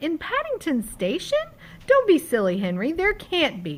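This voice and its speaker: A woman uses a put-on character voice at a high pitch. She speaks at a moderate pace. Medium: read story.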